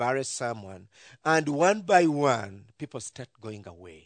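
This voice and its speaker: A man with a Ugandan accent speaks at a very slow pace and a fairly high pitch, the sound dry and close with no echo. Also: quiet background. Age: 40s. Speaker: ministry leader and pastor. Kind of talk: church talk sharing testimony and mission. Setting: church with audience.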